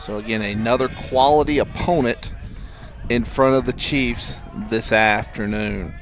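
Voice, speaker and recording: In a Southern US accent, the speaker talks with ordinary pitch variation over noticeable background noise. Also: man, medium pitch for a man, fairly slow pace. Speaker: baseball play-by-play announcer. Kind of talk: live sports commentary. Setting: school baseball game stream.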